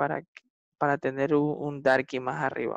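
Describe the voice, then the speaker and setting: The speech moves at a fairly slow pace. The sound is dry with no echo, over a quiet background. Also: man. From Ecuador. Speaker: salsa and reggaeton singer; interviewee. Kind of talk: casual interview. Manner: halting, many repetitions and fillers. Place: home room. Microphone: video call.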